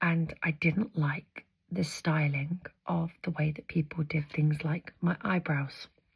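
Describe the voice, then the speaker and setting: Soft-spoken and somewhat breathy, a woman with a very deep, low voice and a gentle tone speaks very slowly with fairly even intonation. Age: 30s. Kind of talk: ASMR makeup tutorial, casual talk to camera. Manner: soft-spoken, gentle.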